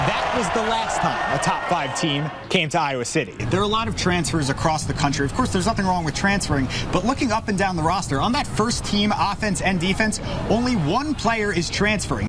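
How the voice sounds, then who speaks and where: Lively intonation at a fairly quick pace, with very even loudness and music in the background. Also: man, high pitch for a man. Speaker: sports reporter and anchor. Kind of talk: TV sports news reporting.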